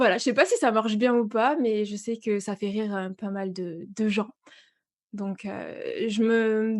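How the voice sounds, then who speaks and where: Over a very clean recording with a silent background, a woman speaks at a fairly high pitch. Her pace is fairly slow, with ordinary pitch variation. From southwest France. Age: 30s. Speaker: voice-over and manga content creator. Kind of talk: interview.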